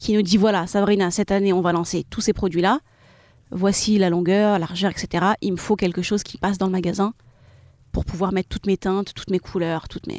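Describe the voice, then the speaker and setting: A woman speaks at a fairly quick pace in a monotone, flat voice of medium pitch. The sound is dry and close with no echo, on a very clean recording with a silent background. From France, Seine-Saint-Denis (93). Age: 30s. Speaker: e-commerce founder. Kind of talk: live podcast interview. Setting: live recording at a festival.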